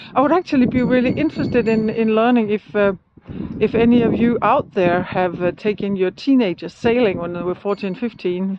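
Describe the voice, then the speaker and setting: Noticeable background noise sits behind a woman with a fairly high pitch. She talks at a fairly quick pace with ordinary pitch variation. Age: 60s. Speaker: solo sailor vlogger. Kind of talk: casual vlog monologue. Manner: halting, many fillers.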